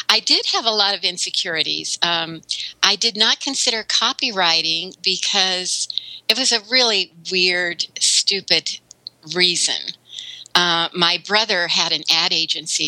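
A woman speaks at a moderate pace with a medium pitch. Her pitch varies in an ordinary way, and there is noticeable background noise. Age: 60s. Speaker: web content writer and consultant. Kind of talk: interview.

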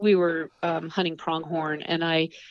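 An unremarkable speaking voice from a woman with an American accent, fairly low in pitch, at a fairly slow pace, with a dry, close sound and no echo. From upstate New York (Adirondacks). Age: 50s. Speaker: outdoor writer, TV producer and champion skier. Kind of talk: interview.

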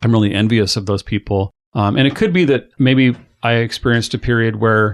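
On a dry, close recording with no echo and a quiet background, a man speaks very fast at medium pitch. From Ellensburg, Washington, US Pacific Northwest. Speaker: musician, singer-songwriter and drummer. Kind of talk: casual interview conversation. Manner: hesitant, filler-heavy, conversational.

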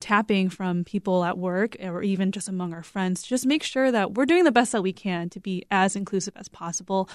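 On a very clean recording with a silent background and a dry, close sound with no echo, a woman with an American accent speaks in a plain, everyday voice at a medium pitch with ordinary pitch variation. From US, Korean American. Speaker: podcast producer. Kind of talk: interview.

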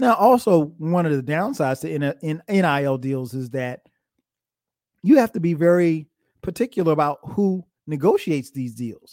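Speaking at a moderate pace in a normal speaking voice, a man with a fairly high pitch uses lively intonation in a very clean recording with a silent background and a dry, close sound with no echo. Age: 40s. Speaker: sports podcast host, former college football player. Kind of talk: solo podcast monologue.

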